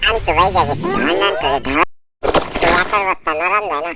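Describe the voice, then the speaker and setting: Over music in the background, a put-on character voice at a middle pitch moves at a fairly quick pace. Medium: fan dub.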